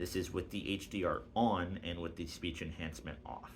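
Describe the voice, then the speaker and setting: Audible room echo surrounds a man whose voice is very deep and low. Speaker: tech youtuber. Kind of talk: tutorial. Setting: indoors in an apartment. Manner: talking a little loud.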